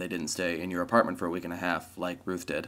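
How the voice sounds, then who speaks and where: Very deep and low in pitch, a man speaks at a fairly quick pace in a very clean recording with a silent background. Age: 20s. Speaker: vlogger. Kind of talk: casual vlog monologue.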